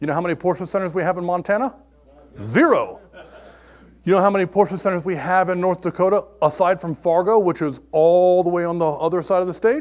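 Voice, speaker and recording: A man's loud, animated, high-pitched voice moves at a fairly quick pace. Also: ordinary pitch variation. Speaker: technical trainer. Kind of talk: technical presentation. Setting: classroom with audience.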